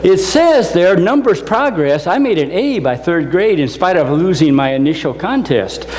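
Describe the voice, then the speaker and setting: A high-pitched man with an American accent at a moderate pace, very wide pitch swings, audible room echo and noticeable background noise. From US Midwest, northwest Indiana. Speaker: motivational speaker, NASA engineer. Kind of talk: motivational talk. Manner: animated.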